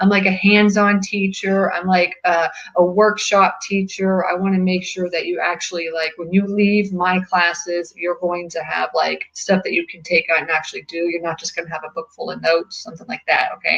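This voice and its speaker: Noticeable background noise sits behind a woman whose medium-pitched voice runs in a flat monotone, swings widely in loudness, and hardly pauses at all. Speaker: real estate investing club organizer. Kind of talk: webinar presentation. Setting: webinar video call. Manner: fast.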